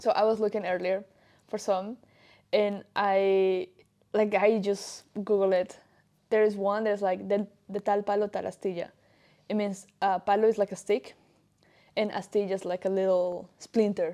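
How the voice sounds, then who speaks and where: A woman speaks at medium pitch and a moderate pace, with a dark, mellow tone, monotone, flat intonation and long, frequent pauses. The recording is very clean, with a silent background. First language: Spanish. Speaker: podcast co-host. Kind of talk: casual chat.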